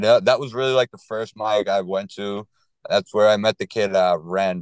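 With a Boston accent, a man speaks at a moderate pace in a fairly low pitch and fairly even intonation, the sound dry and close with no echo over a quiet background. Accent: Boston-area. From Lowell, Massachusetts. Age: 30s. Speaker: stand-up comedian. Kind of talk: casual chat. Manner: low-energy, somewhat monotone.

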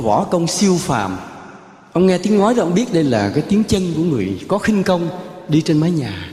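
Music in the background and audible echo from the room. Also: man. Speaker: Buddhist monk giving a dharma talk. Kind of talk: sermon. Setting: temple ceremony with audience.

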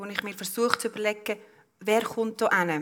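Speaking at a moderate pace with fairly even intonation, a woman with a fairly high pitch is heard over noticeable background noise. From Switzerland, Lucerne. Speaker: politician and business owner. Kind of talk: public panel discussion. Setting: live event at an exhibition venue.

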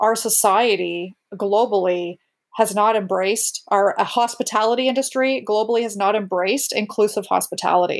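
In a very clean recording with a silent background, a woman with an ordinary speaking voice and a medium pitch talks at a moderate pace. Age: 40s. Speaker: recovery guest sharing drinking story. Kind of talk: interview testimony.

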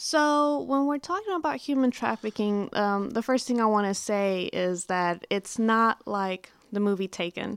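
A woman with a Texan accent, fairly high pitch and lively intonation, fairly slow with hardly any pauses, in a very clean, dry and close recording with a silent background and no echo. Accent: Texan American. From Dallas area, Texas. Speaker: human trafficking victim advocate. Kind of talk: interview.

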